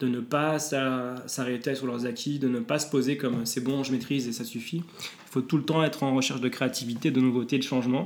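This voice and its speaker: His pitch is medium, his pace moderate, and his intonation fairly even. A man talks in an unremarkable speaking voice. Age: 30s. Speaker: psychologist and mental coach. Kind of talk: interview.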